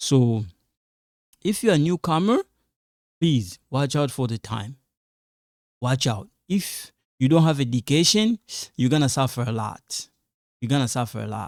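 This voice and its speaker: Recorded very cleanly against a silent background, with a dry, close sound and no echo, a man with a non-native accent speaks at a moderate pace in a medium pitch, with lively intonation and long, frequent pauses. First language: an African language, not Lingala or French. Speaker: online teacher, YouTuber. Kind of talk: advice talk to camera. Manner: repetitive, emphatic; halting, many fillers.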